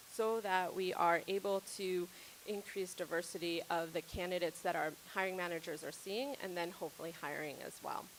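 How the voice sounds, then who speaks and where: Speaking at a fairly quick pace, a woman keeps her fairly low voice in fairly even intonation. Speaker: healthcare diversity and inclusion strategist. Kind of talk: conference presentation. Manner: loud.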